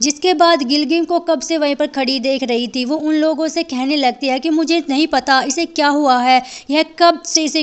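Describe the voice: A woman speaks at a moderate pace with a high pitch. Her intonation stays fairly even.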